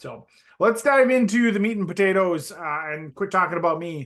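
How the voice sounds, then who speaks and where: A man speaks with a strong Upper Midwest accent. His intonation is lively. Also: quiet background. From North Dakota. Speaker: esports hardware solutions director. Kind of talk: webinar presentation. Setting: online webinar. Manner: many filler words (uh, um).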